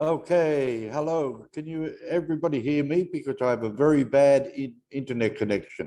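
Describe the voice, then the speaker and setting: A man with an Australian accent speaks at a moderate pace with hardly any pauses. His fairly high voice has a dark, mellow tone and ordinary pitch variation. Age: 70s. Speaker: network marketing member. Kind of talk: testimony.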